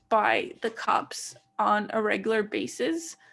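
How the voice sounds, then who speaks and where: Her voice sits at a fairly high pitch for a woman and carries vocal fry. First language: Greek. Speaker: podcast co-host. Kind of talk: casual chat.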